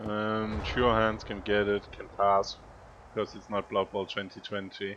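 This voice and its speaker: A man with a Danish accent talks fairly slowly in a fairly low pitch, his intonation monotone and flat. His loudness swings widely over noticeable background noise. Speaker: video game commentator and coach. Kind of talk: game commentary and coaching. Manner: thinking aloud with hesitations.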